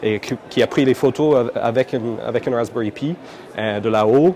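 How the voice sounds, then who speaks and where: With an Irish accent and medium pitch, a man speaks at a moderate pace over noticeable background noise. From Ireland, Dublin. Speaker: computing education entrepreneur. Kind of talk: interview. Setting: conference. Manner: hesitant, many fillers and repetitions.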